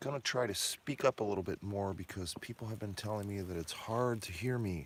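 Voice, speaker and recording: Soft-spoken and fairly low-pitched, a man talks at a fairly quick pace with ordinary pitch variation on a very clean recording with a silent background. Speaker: mine owner and rockhound vlogger. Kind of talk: casual outdoor vlog narration. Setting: outdoors at a mine. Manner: soft-spoken, quiet; animated, excited exclamations. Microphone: hard to hear, too quiet.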